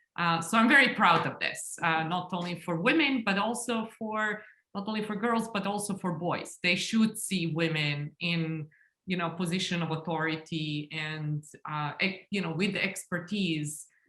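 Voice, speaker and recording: Her voice has a Serbian accent and a fairly low pitch. The woman speaks at a moderate pace with ordinary pitch variation. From Serbia, Belgrade. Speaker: engineering school dean. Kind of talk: panel discussion.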